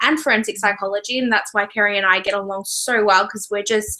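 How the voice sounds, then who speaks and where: Noticeable background noise accompanies a woman speaking with an Australian accent. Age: 20s. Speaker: book reviewer. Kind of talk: casual chat. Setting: video call.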